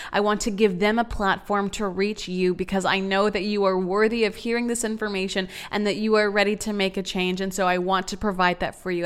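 In an animated tone, a woman speaks at medium pitch on a very clean recording with a silent background. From Texas, San Antonio. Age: 20s. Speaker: podcast host. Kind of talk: motivational solo talk.

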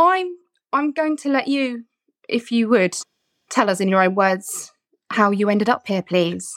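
Pausing long and often, a woman with an English accent speaks at a fairly slow pace in a fairly high voice that swings very widely in pitch. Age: middle-aged. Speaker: podcast host. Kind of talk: casual chat. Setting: video call.

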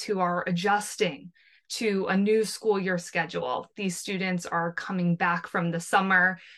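This woman has a normal speaking voice with an American accent, medium pitch and ordinary pitch variation. She talks at a moderate pace against a quiet background. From New Jersey, US. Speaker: former school counselor. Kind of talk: interview.

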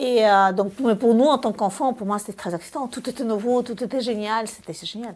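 A woman with a Russian accent at a fairly high pitch, using ordinary pitch variation and a moderate pace with hardly any pauses. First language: Russian (speaking French). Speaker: film director and screenwriter. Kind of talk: interview.

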